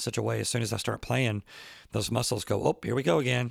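Vocal fry runs through this voice, which moves at a moderate pace with fairly even intonation in a dry, close recording with no echo. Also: man. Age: 50s. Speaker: professional drummer and podcast host. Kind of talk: casual solo talk answering listener questions. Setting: at home.

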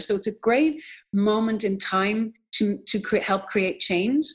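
Speaking at a moderate pace with an American accent, a woman has a somewhat breathy voice of medium pitch. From Ireland. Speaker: documentary filmmaker and nonprofit co-founder. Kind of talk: interview conversation.

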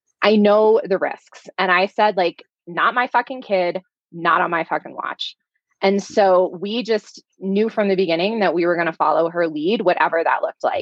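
Her medium pitch varying in an ordinary way, a woman with an unremarkable speaking voice talks at a moderate pace. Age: 30s. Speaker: life coach and parent. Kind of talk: podcast interview.

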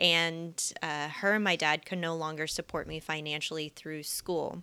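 On a very clean recording with a silent background, a woman with a Midwestern US accent speaks at a fairly slow pace and fairly low pitch. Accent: General American (Midwestern). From US Midwest, Kansas City. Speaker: personal finance educator and YouTuber. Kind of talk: interview.

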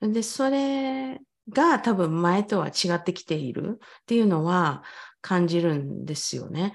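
On a very clean recording with a silent background, a woman at a medium pitch talks at a fairly slow pace with very wide pitch swings. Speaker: English pronunciation coach. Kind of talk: casual chat.

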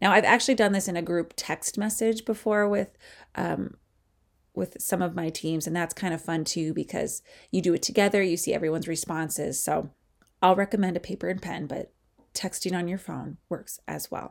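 Recorded very cleanly against a silent background, the voice carries vocal fry, with ordinary pitch variation at a moderate pace. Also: woman, fairly low pitch for a woman. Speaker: podcast host and sports coach. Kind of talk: solo podcast monologue. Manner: casual, with frequent filler words.

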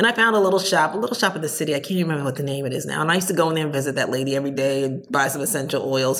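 A woman with an American accent, very deep and low in pitch, very fast with hardly any pauses and lively intonation, plus noticeable background noise and audible room echo. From New Jersey. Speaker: entrepreneur. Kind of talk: interview.

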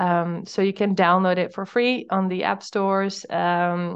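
A woman with a Dutch accent speaks at a fairly low pitch. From Netherlands. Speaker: startup founder. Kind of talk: interview.

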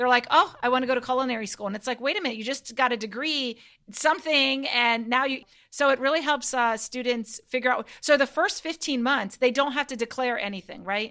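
A woman projects a raised, high-pitched voice with a bright, sharp, animated tone and ordinary pitch variation. She talks at a fairly quick pace with hardly any pauses, and her loudness swings widely. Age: 40s. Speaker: podcast host, homeschool mom. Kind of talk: interview.

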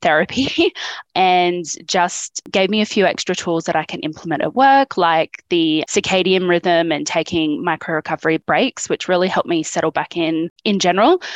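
The speech runs on with hardly any pauses. The sound is dry and close, with no echo. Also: woman. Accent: Australian. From regional Australia. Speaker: public servant. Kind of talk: group coaching conversation. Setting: video call from home studio. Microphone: good audio setup.

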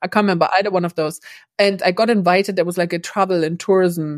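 A woman with a German accent speaks at a fairly quick pace in a fairly low voice with ordinary pitch variation, in a dry, close sound with no echo on a very clean recording with a silent background. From East Germany. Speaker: cross-cultural business trainer. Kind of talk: interview.

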